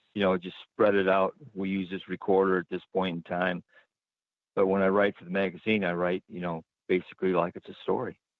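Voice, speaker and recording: Very deep and low, a man talks at a fairly quick pace in a monotone, flat way, his loudness swinging widely. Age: 70s. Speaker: paranormal investigator. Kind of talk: radio interview. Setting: radio show.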